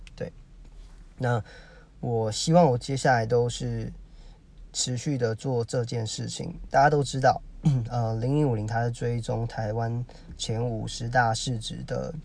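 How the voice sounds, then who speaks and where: A somewhat breathy man at medium pitch, fairly slow pace and fairly even intonation, with long, frequent pauses. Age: 30s. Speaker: podcaster. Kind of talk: solo monologue. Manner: halting, many fillers.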